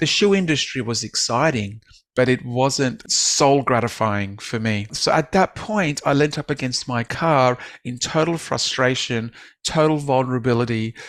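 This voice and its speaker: A man talks with an Australian accent. His pitch sits in the medium range. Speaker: author and business speaker. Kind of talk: podcast interview, personal story. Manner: frequent fillers and restarts.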